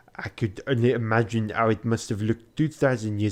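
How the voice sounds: Fairly even intonation in a natural reading voice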